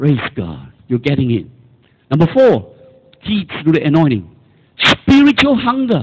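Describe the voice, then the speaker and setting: Fairly high-pitched, somewhat breathy male speech at a fairly slow pace, with very wide pitch swings and long, frequent pauses. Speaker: preacher. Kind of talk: sermon. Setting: church. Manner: animated; exhorting the congregation with call-and-response.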